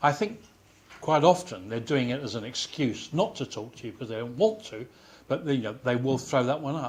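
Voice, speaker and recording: A man talks at a moderate pace and medium pitch. His intonation is lively, and his loudness swings a lot. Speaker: science journalist. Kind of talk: panel discussion. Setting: audience room, waiting for a handheld mic.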